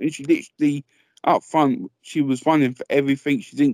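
At a fairly quick pace, a man talks with fairly high pitch, a slightly mellow tone and fairly even intonation, in a dry, close sound with no echo.

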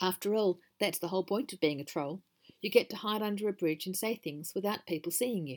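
The background is quiet. A natural reading voice carries ordinary pitch variation.

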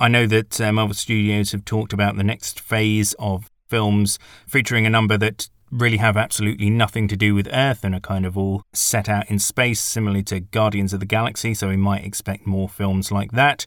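A man with a fairly low voice speaks at a fairly quick pace in a flat monotone, hardly pausing, in a very clean recording with a silent background and a dry, close sound with no echo. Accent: British. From Britain. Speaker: film critic podcaster. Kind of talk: film review monologue.

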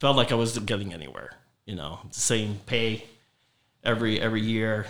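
Talking at a moderate pace, a man is heard with audible room echo. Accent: American. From Southwest Florida (Fort Myers, Cape Coral, Naples). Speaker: mortgage broker and company owner. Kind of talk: casual interview chat. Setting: office studio.

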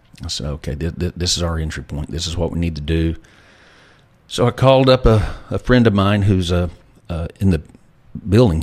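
A man with a Texan accent talks at a very fast pace. His pitch is very deep and low. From Texas, Lubbock. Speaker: former oil company CEO. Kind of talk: interview.

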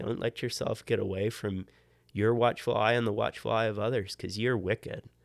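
Here is a man with a plain, everyday voice and an American accent, speaking at medium pitch and a moderate pace. The recording is very clean, with a silent background. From Maryland, near Baltimore. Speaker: engineer and church deacon. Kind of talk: casual interview chat.

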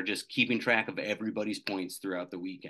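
A man talks fairly quickly, the background quiet. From central Wisconsin. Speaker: radio station account executive, quiz contestant. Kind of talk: casual interview chat. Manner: enthusiastic.

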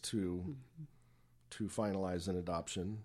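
A man's dark, mellow tone comes at a moderate pace in a very clean recording with a silent background. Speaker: author and speaker. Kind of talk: radio interview.

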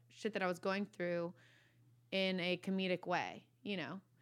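This woman has a fairly low pitch and an American accent. She speaks at a moderate pace in a monotone, flat intonation. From Virginia, US. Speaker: comedian and content creator. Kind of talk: casual chat. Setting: podcast studio.

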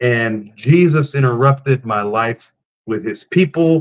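Speaking very slowly with a South Texas accent, a man holds a medium pitch with ordinary pitch variation. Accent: South Texas American. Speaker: pro wrestler and preacher. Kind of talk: testimony. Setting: remote call from rural house.

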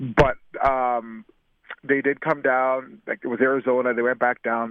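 A man with a Canadian accent at a moderate pace. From Canada. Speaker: retired football receiver. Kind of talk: interview. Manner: halting, repeats words.

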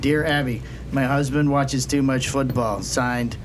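A man talks at a medium pitch. Background noise is noticeable behind him. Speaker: podcast producer and co-host. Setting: podcast studio.

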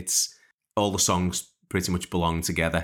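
A man speaks with a Liverpool accent at a very deep, low pitch. The recording is very clean, with a silent background. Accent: Liverpool (Scouse). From Liverpool, England. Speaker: songwriter and podcast host. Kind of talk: casual interview chat.

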